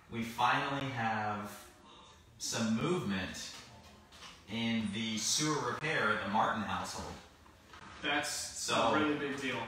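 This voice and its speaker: A man talks at a fairly slow pace with long, frequent pauses and ordinary pitch variation. Strong room echo and light background noise are heard. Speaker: podcast co-host. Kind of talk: casual podcast chat. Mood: playful, joking. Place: office.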